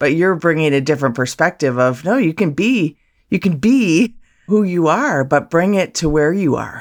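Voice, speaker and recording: A woman's normal speaking voice, fairly low in pitch, with lively intonation and a moderate pace. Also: very even loudness, very clean recording, silent background. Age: 50s. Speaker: podcast co-host. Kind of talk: podcast interview.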